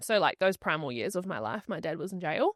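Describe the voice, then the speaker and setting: A woman with a New Zealand accent speaks at a medium pitch with lively intonation, in a dry, close sound with no echo against a quiet background. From New Zealand, Rotorua. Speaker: podcast guest. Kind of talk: interview conversation.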